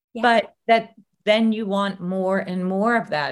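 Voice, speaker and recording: A woman has a normal speaking voice at a medium pitch with fairly even intonation. The recording is very clean, with a silent background. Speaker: podcast host and legacy coach. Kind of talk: interview, intro.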